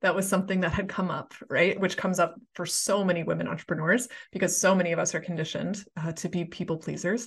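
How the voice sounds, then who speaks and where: Somewhat breathy, a woman rushes at a very fast pace with hardly any pauses against a quiet background. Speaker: podcast host and business coach. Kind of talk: interview. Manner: warm, enthusiastic.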